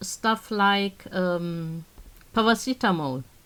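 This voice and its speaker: A woman with a German accent and lively intonation. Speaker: knitting designer. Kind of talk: casual chat.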